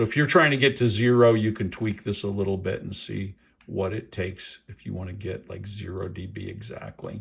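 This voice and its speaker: Fairly quick and with hardly any pauses, a man speaks at a fairly low pitch with vocal fry and ordinary pitch variation. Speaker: tech product reviewer. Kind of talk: tutorial. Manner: casual, hesitant with fillers.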